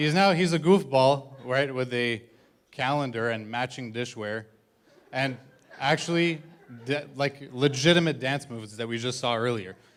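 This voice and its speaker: A man speaks at a moderate pace and medium pitch. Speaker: best man giving wedding toast. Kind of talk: wedding speech. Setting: wedding reception with audience. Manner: monotone.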